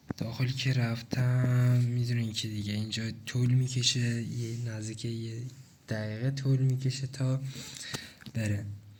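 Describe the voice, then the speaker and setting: With audible room echo, a man speaks at medium pitch in a monotone, flat intonation and a fairly slow pace. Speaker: gaming tutorial creator. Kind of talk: tutorial. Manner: casual, conversational.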